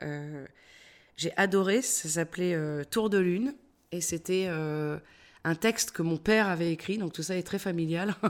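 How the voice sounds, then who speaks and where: Long, frequent pauses from a woman at a fairly slow pace, fairly low pitch and ordinary pitch variation, on a very clean recording with a silent background. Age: 50s. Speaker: actress and voice-over artist. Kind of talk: interview. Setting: at her home.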